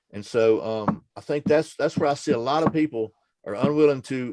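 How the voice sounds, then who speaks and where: A normal speaking voice at a fairly quick pace, with ordinary pitch variation and a dry, close sound with no echo. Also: man. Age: 60s. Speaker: firearms training channel host. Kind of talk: casual chat. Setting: video call.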